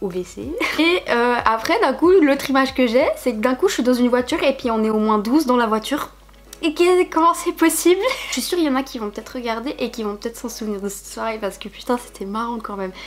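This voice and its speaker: Over background music, a woman talks very fast at a high pitch, with lively intonation and big swings in loudness. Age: 20s. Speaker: YouTuber. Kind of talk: casual vlog chat. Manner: casual, hesitant with fillers.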